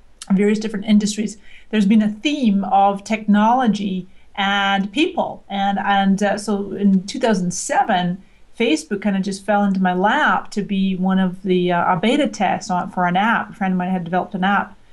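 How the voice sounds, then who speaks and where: A woman with a slight Scottish accent speaks at a moderate pace and a medium pitch. Her voice is somewhat breathy, with fairly even intonation. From Scotland. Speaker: social media marketing expert. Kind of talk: interview.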